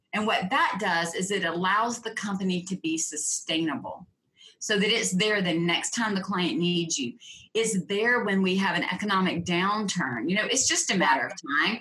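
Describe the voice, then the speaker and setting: Her voice is a normal speaking voice with a medium pitch. The woman's intonation is lively, and her pace is moderate. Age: 50s. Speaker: profitability coach. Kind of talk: interview.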